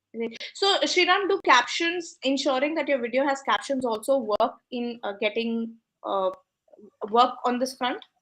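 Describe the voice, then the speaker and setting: A woman with an Indian accent talks fairly slowly, high in pitch, with lively intonation. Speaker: business coach and host. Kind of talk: live interview Q&A. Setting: online live session.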